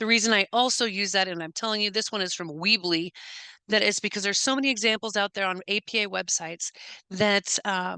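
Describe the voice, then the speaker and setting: Recorded dry and close with no echo against a quiet background, a woman talks at a fairly quick pace in a bright, sharp tone, with medium pitch and ordinary pitch variation. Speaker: university instructor. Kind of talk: lecture. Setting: screen-share recording. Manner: fast; halting.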